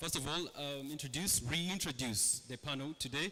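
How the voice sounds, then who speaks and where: A man speaks with a Ugandan accent. His tone is bright and sharp. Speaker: panel moderator. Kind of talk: panel moderation.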